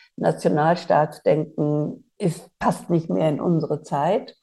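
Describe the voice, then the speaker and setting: The tone is dark and mellow, and the pace is fairly slow. The background is quiet. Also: woman. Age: 30 years older than during the Bosnian war, so 60s or older. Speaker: podcast host, politician. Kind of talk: interview conversation.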